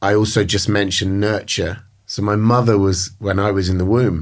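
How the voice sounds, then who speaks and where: A man speaks in a British accent with monotone, flat intonation. The recording is very clean, with a silent background. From England, countryside outside London. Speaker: recovering addict. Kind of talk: interview. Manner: halting, many fillers.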